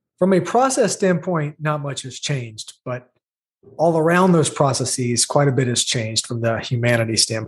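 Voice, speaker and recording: A man with an American accent speaks in a somewhat breathy voice at a fairly high pitch. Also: lively intonation. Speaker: remote work executive. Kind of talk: interview.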